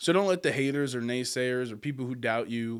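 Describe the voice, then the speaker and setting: On a very clean recording with a silent background, a man speaks at a medium pitch. His tone is animated. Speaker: podcast host. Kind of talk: motivational monologue. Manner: loud.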